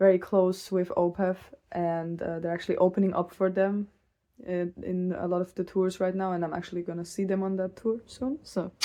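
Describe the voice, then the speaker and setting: A woman with a non-native accent speaks at a medium pitch in a dark, mellow tone with monotone, flat intonation. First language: not English. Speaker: metal music vlogger. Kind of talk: casual rant video. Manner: casual, laughing.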